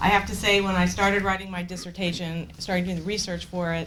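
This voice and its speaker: Monotone, flat intonation with audible room echo. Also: woman. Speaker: energy policy consultant. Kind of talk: conference talk. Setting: conference room with audience. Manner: loud.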